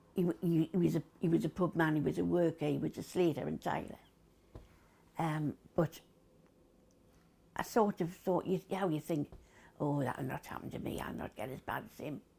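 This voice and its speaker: With a Geordie accent, a woman speaks at a moderate pace in a very deep, low pitch, her dark, mellow tone carrying vocal fry, ordinary pitch variation, big swings in loudness and long, frequent pauses. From Newcastle. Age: 70s. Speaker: COPD patient, former smoker. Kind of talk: interview answer.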